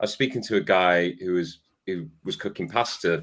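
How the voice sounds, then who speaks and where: A man with an English accent speaks in a very deep, low pitch at a moderate pace. The pitch variation is ordinary, and the recording is very clean with a silent background. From Salford, Greater Manchester. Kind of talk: casual chat.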